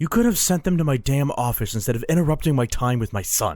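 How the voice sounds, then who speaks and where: Putting on a growling character voice, a man at a medium pitch races along at a very fast pace with very wide pitch swings. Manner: angry growl.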